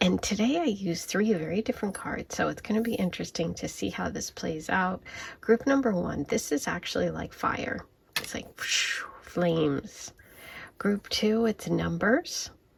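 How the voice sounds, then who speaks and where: A woman speaks quietly at a moderate pace over noticeable background noise. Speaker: tarot reader. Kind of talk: tarot card reading. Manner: quiet, hushed.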